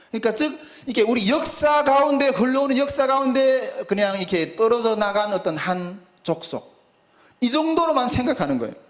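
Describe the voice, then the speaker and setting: Noticeable background noise and audible room echo accompany a man speaking with lively intonation at a moderate pace. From North Korea. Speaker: preacher. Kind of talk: sermon. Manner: halting, many fillers.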